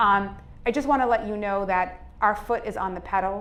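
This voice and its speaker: A woman with a Boston accent speaks amid audible room echo. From Cambridge, Massachusetts. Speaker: state legislator. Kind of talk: public speech.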